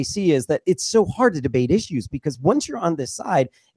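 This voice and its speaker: A man talks at a very fast pace, his pitch swinging very widely. His tone is dark and mellow, and the sound is dry and close with no echo. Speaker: podcast host. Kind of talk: casual podcast conversation.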